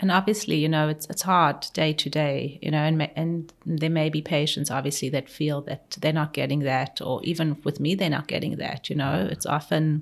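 A woman with a South African accent and a very deep, low pitch, at a fairly quick pace with hardly any pauses and fairly even intonation, on a very clean recording with a silent background. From South Africa (Pretoria), moved to Israel as a teen. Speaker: oncologist. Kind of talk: interview conversation.

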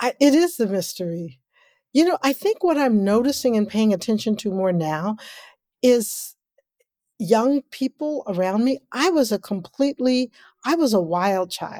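In a dry, close recording with no echo, a woman with an American accent speaks fairly slowly in a dark, mellow tone, her fairly high pitch making very wide swings. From Kansas City, Missouri, US. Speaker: choreographer. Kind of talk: interview.

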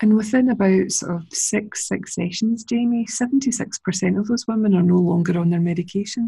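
A woman speaks in a dark, mellow tone with a Scottish accent. Her voice is somewhat breathy, and she hardly pauses. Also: medium pitch for a woman, ordinary pitch variation, fairly quick pace. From Scotland. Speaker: podcast host. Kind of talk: casual interview chat.

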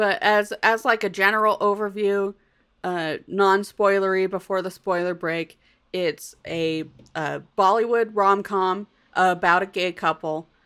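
A woman with an American accent and a plain, everyday voice, medium in pitch, fairly even in intonation and fairly slow, in a very clean recording with a silent background. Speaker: podcast host. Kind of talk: casual chat.

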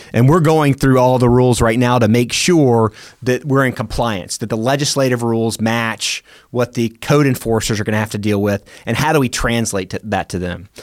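A man with a plain, everyday voice talks at a moderate pace and a medium pitch, with ordinary pitch variation. The recording is very clean, with a silent background. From US South, Memphis, Tennessee. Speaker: retired air force officer and leadership consultant. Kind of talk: interview conversation. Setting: studio.

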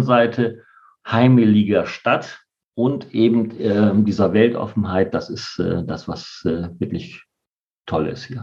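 At a very slow pace, a man speaks in a medium-pitched voice with ordinary pitch variation. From Bremen. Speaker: party politician. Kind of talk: interview.

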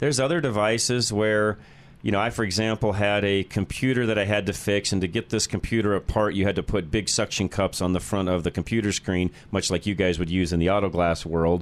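A man talks at a fairly quick pace in a fairly low pitch with ordinary pitch variation. His loudness stays very even against a quiet background. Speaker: car talk radio host and former auto shop owner. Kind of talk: call-in radio show. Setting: radio studio.

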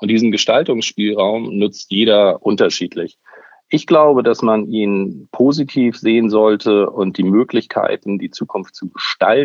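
This is an unremarkable speaking voice at a fairly slow pace, with ordinary pitch variation and a dry, close sound with no echo. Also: man. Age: 50s. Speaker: media executive. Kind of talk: interview.

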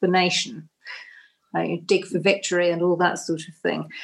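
A woman speaks in a southern English accent. Her pitch is medium and her pace moderate. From Cornwall, England. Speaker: novelist and publisher. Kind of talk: interview.

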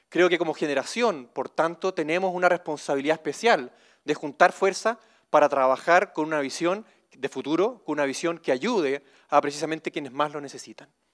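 Recorded with a dry, close sound and no echo, a man with a Chilean accent speaks at a fairly high pitch and fairly quick pace with ordinary pitch variation. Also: very clean recording, silent background. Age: 40s. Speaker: civil engineer. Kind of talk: motivational talk.

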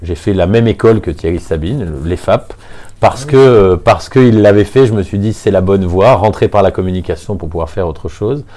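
A man talks at a fairly quick pace in a fairly low voice with ordinary pitch variation. His tone is dark and mellow. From southern France, Nice. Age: 50s. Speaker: motor racing circuit director. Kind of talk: interview. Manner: hesitant, frequent fillers.

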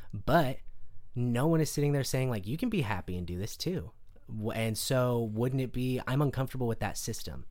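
This man has an unremarkable speaking voice, and his pitch varies in an ordinary way. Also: medium pitch for a man, moderate pace. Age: 20s. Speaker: comedian and musician. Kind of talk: casual chat.

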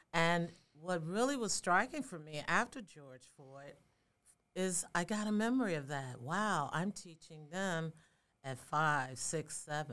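An unremarkable speaking voice at a fairly slow pace, with lively intonation and big swings in loudness, on a very clean recording over a silent background. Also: woman, fairly low pitch for a woman. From Chicago, South Side. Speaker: diversity and inclusion consultant. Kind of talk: interview conversation.

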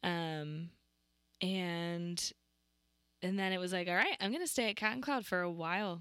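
On a very clean recording with a silent background, a woman with an American accent speaks at a moderate pace in a bright, sharp tone, using ordinary pitch variation and long, frequent pauses. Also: medium pitch for a woman. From Arizona. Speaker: cafe employee. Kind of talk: casual chat. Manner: animated.

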